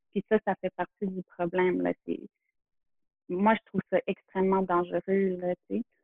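Delivered in a Quebec accent, the speech is fairly slow and monotone, with long, frequent pauses. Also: woman, medium pitch for a woman. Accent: Québécois French. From Quebec, Montreal area near Kahnawake. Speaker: photographer. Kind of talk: interview conversation. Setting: in person. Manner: halting.

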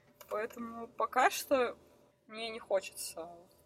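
A woman's fairly high voice, varying in pitch in an ordinary way, comes through noticeable background noise. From Russia, Krasnoyarsk. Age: 20s. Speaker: professional snowboarder. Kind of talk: interview.

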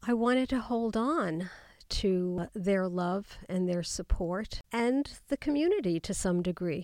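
A woman with an unremarkable speaking voice talks at a medium pitch and fairly slow pace, in an American accent. Her intonation is lively, and the recording is very clean with a silent background. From US. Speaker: memoirist and psychotherapist. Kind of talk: interview.

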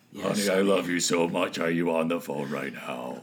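A man puts on a gruff character voice with a very deep, low pitch, and background noise is clearly audible. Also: moderate pace.

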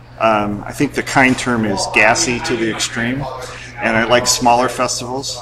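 Medium-pitched and fairly even in intonation, the man talks at a moderate pace. Noticeable background noise and audible room echo are present. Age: 50s. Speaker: film festival board member. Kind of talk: interview. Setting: film festival venue.

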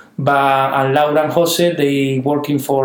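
Audible room echo carries a man's fairly high voice, spoken at a moderate pace in a Canary Islands accent. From Canary Islands, Spain. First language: Spanish. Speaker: winemaker. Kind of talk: interview. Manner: halting, repeats words.

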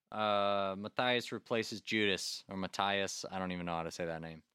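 A man speaks in a fairly low voice with a bright, sharp tone at a moderate pace. The sound is dry and close, with no echo. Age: 30s. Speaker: music podcast host. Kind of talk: casual chat. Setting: remote recording.

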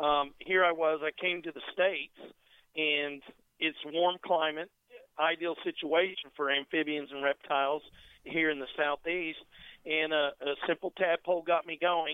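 A man's fairly high voice, monotone and flat, at a fairly slow pace. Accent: American. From North Carolina, after early childhood in England. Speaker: reptile wholesale manager. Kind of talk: casual interview. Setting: phone call.

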